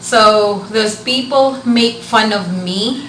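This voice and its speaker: In a room with audible echo and noticeable background noise, a woman speaks at medium pitch with a Filipino accent. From Philippines, Bicol region. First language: Bikol. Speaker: vlogger. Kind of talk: casual vlog talk. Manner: hesitant with filler words.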